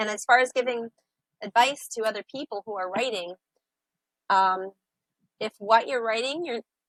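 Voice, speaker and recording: A woman with an American accent speaks in an unremarkable speaking voice at a fairly quick pace. Her fairly high pitch has ordinary variation, and the sound is dry and close with no echo. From upstate New York. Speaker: sailor and author. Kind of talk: interview.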